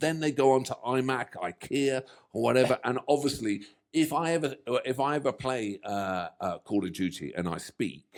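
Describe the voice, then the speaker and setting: A man with a British accent speaks at a medium pitch. His pace is moderate and his intonation lively. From England. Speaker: reaction video co-host. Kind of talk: casual chat. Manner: animated.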